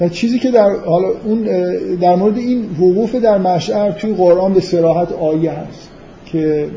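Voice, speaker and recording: A man with a high-pitched voice talks at a fairly quick pace with ordinary pitch variation, amid noticeable background noise and audible room echo. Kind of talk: lecture. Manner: halting.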